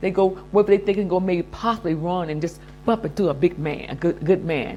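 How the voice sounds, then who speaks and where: Over noticeable background noise, a woman speaks at a very fast pace. Her tone is animated and her pitch fairly low. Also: ordinary pitch variation. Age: 70s. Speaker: lifestyle vlogger. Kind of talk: casual monologue advice.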